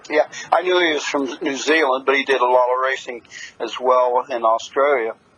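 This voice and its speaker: A man speaks at a medium pitch and moderate pace. His intonation is fairly even, and there is noticeable background noise. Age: 70s. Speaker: harness racing announcer. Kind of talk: interview answer. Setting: phone line.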